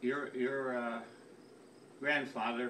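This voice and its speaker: Over noticeable background noise, a man at a medium pitch speaks fairly slowly in a monotone, flat way. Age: 80s+. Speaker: family elder sending a message. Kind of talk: recorded personal message. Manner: halting, many repetitions.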